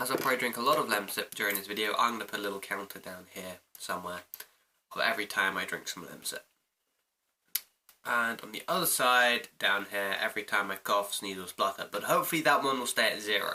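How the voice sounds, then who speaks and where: A man with a British accent talks very fast. His pitch is medium, with ordinary variation. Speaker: vlogger. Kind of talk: casual vlog monologue.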